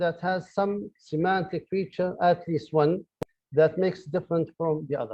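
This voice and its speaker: With an Arabic accent, a man speaks at a moderate pace in a high pitch. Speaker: professor. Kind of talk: lecture. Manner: halting, many fillers and repeated words.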